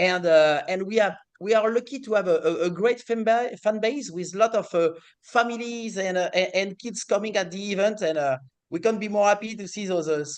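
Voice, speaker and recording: A man's high-pitched voice with a French accent. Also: ordinary pitch variation, fairly quick pace. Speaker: racing series executive. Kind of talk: interview. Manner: hesitant, many fillers.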